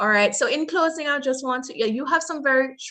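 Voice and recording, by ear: A woman talks at a fairly quick pace in a high pitch. Her tone is bright and sharp, with ordinary pitch variation.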